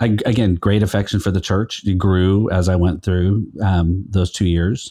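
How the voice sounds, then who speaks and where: A man's very deep, low voice with a dark, mellow tone and an American accent, at a moderate pace against a quiet background. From California Central Valley. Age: 50s. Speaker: pastor and podcaster, guest. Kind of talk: casual interview chat.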